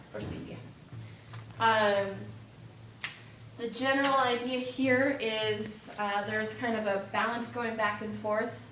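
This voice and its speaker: A woman talks at a fairly slow pace and fairly high pitch, her intonation fairly even and her pauses long and frequent. Audible room echo and noticeable background noise fill the recording. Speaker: student tutor coaching a quiz team. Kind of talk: informal tutoring session.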